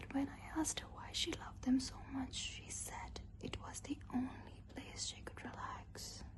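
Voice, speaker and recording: A woman whispers at a fairly slow pace with hardly any pauses, her loudness swinging widely. Background noise is noticeable. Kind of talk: horror story narration. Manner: whispered, soft-spoken.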